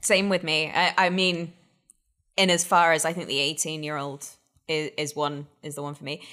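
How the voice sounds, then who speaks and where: The voice carries an American accent and a bright, sharp tone. Its loudness swings widely. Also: woman, very deep, low pitch for a woman, moderate pace. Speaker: guest whisky taster. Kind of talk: casual chat.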